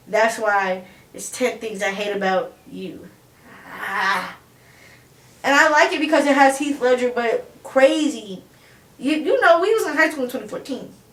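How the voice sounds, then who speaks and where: Her high pitch swinging very widely and her loudness rising and falling sharply, a woman speaks at a fairly slow pace with long, frequent pauses, with audible room echo and noticeable background noise. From Chicago, US Midwest. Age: 20s. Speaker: interview guest. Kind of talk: casual interview chat.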